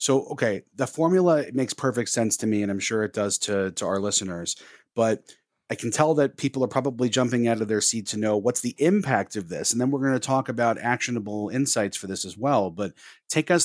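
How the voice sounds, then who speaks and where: A man with a normal speaking voice at medium pitch and a fairly quick pace, with ordinary pitch variation, a dry, close sound with no echo, and a quiet background. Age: 30s. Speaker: tech consultant and podcast co-host. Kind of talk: casual chat.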